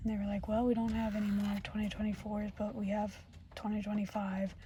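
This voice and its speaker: Against noticeable background noise, a soft-spoken woman whispers. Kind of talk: ASMR storytime in a car, casual talk to camera. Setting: inside a parked car with rain outside. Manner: soft-spoken, whispered.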